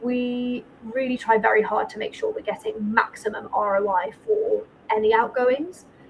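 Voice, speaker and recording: A woman with a northern English accent speaks at a moderate pace over noticeable background noise. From northern England. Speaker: accountant and firm owner. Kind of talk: podcast interview.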